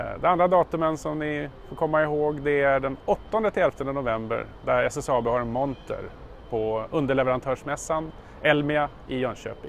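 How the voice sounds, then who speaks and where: The voice moves at a fairly slow pace with ordinary pitch variation, in a dry sound with no echo and light background noise. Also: man. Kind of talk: corporate video greeting. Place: street. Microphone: lapel.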